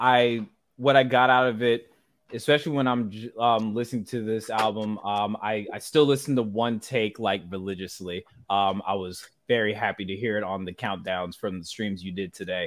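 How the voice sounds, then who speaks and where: Ordinary pitch variation at a moderate pace. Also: man. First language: not English. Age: 20s. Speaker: podcast host. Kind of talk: casual interview.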